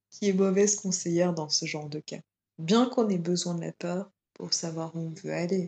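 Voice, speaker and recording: Dry and close with no echo, a woman's fairly low-pitched voice has a dark, mellow tone and fairly even intonation at a moderate pace. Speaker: yoga teacher. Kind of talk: interview. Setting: remote recording during lockdown. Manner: hesitant, many repetitions. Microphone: sound quality not always good.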